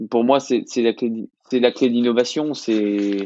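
A man speaks at a medium pitch with fairly even intonation in an unremarkable speaking voice. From France, Clermont-Ferrand. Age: 20s. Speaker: business school graduate. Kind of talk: interview.

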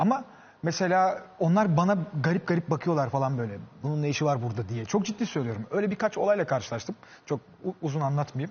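A man talks with a fairly high pitch and very wide swings in it. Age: 30s. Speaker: social media content creator. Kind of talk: casual chat.

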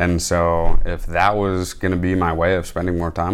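With an American accent, a man speaks at a very deep, low pitch. His moderate pace carries audible room echo. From Michigan. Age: 20s. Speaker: military chaplain's assistant. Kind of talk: casual interview. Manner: hesitant, many fillers.

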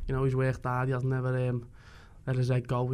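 A man's dark, mellow voice in a Liverpool accent, medium in pitch, at a very fast pace. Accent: Scouse. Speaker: footballer. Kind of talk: post-match interview.

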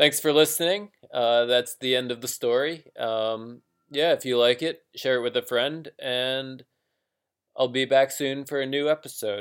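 A man speaks in an unremarkable speaking voice with an American accent, at medium pitch and a fairly slow pace, with fairly even intonation, on a very clean recording with a silent background. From US. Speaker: fiction writer, podcast host. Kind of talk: reading aloud; casual podcast intro.

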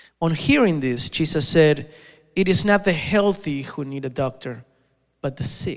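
A man with a normal speaking voice, fairly high pitch, ordinary pitch variation and a fairly slow pace. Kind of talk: fervent prayer. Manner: reverent, earnest.

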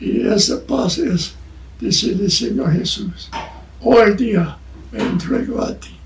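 Speaking at a very slow pace with long, frequent pauses and big swings in loudness, a man is heard through noticeable background noise and audible room echo. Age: 90s. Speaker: missionary preacher. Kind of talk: sermon. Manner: halting.

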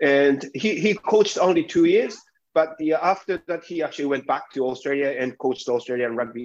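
A man with a Japanese accent. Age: 40s. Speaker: sports executive. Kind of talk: interview.

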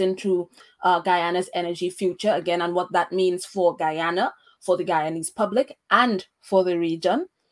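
This is an ordinary speaking voice from a woman of medium pitch. She keeps a moderate pace and fairly even intonation. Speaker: podcast host. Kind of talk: interview on a podcast. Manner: fluent, with frequent fillers.

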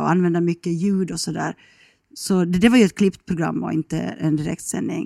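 A woman speaks at a moderate pace in a fairly low voice with a dark, mellow tone and fairly even intonation. The recording is very clean with a silent background and a dry, close sound with no echo. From Finland, Ostrobothnia (Kronoby, near Jakobstad). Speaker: radio journalist, travel show host. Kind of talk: casual chat.

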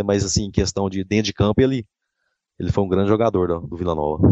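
Here a man talks at a fairly quick pace in a normal speaking voice, pitched fairly low. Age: 40s. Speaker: civil servant and football fan. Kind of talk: interview.

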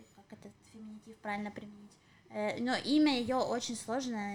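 The voice belongs to a woman. She keeps a fairly even intonation. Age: 30s. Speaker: podcast co-host. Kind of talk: casual chat. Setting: home apartment.

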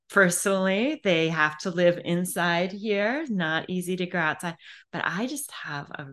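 In an American accent, a woman with an unremarkable speaking voice talks at a fairly slow pace. Her pitch is fairly low, her intonation lively, and the background quiet. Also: big swings in loudness. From US Midwest, Illinois. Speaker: poet and professor. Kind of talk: interview.

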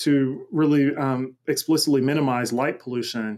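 A man with an American accent talks in an ordinary speaking voice, fairly high in pitch, at a moderate pace with fairly even intonation. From US South, Macon, Georgia. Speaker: cosmologist and multimedia artist. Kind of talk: interview conversation.

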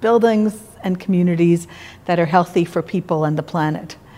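A woman speaks in an unremarkable speaking voice with a Canadian accent. Her pitch is fairly low and her intonation fairly even. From Quebec, Montreal. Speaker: architect. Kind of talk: interview.

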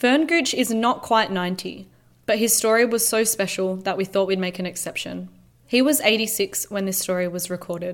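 A woman's medium-pitched voice in an Australian accent, at a moderate pace with ordinary pitch variation. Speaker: podcast host. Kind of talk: scripted narration.

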